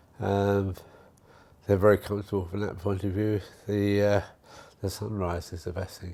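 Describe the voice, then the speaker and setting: A man with a southern English accent speaks at a moderate pace, leaving long, frequent pauses. His dark, mellow voice sits fairly low and stays flat and monotone. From southern England, Hertfordshire. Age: 70s. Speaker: retirement home resident. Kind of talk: casual interview chat.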